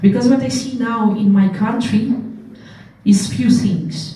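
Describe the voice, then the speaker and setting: With audible room echo and noticeable background noise, a woman speaks in a Russian accent. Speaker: political candidate. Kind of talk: panel discussion.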